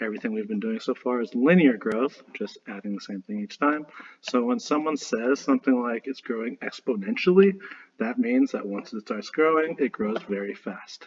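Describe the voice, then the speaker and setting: Lively intonation runs through this man's medium-pitched voice. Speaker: math teacher. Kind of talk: lecture. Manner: fast.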